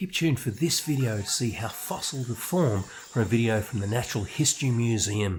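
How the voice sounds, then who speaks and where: A man with an Australian accent talks at a fairly quick pace with hardly any pauses, his medium-pitched, somewhat breathy voice carrying lively intonation. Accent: Australian, noticeable. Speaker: science presenter for children. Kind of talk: educational presentation for children. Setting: outdoors in his garden.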